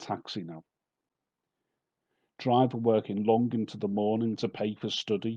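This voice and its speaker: A man with a Liverpool accent speaks at a very slow pace in a fairly low pitch with a dark, mellow tone and fairly even intonation. The sound is dry and close with no echo, and the background is quiet. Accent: Liverpool (Scouse). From Merseyside, England. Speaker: poet. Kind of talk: poetry reading.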